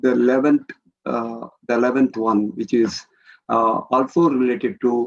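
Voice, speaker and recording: The pace here is fairly slow. Intonation stays fairly even. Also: man. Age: 60s. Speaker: architect. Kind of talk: lecture. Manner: halting.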